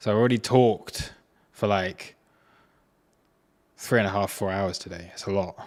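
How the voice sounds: Speaking at a fairly slow pace, a man shows ordinary pitch variation. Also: fairly low pitch for a man.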